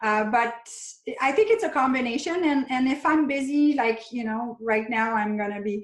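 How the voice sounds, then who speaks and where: With a French Canadian accent, a woman talks at a moderate pace. Her voice is somewhat breathy, with ordinary pitch variation. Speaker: chiropractor and functional medicine practitioner. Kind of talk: interview.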